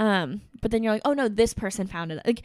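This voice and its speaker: A woman speaks at a fairly high pitch with ordinary pitch variation. It is an ordinary speaking voice on a very clean recording with a silent background. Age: 20s. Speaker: content creator and entrepreneur. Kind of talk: casual interview. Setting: in-person studio recording.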